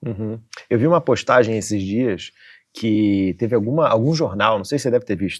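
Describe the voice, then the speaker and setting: In a Rio de Janeiro accent, a man talks at a fairly quick pace with a medium pitch and ordinary pitch variation over a quiet background. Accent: carioca. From Rio de Janeiro, Brazil. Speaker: podcast host. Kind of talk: podcast interview.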